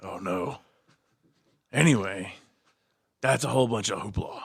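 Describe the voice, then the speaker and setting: A man puts on a raspy character voice at a fairly low pitch. His intonation is lively and his pace moderate. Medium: actual play. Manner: stubborn, commanding.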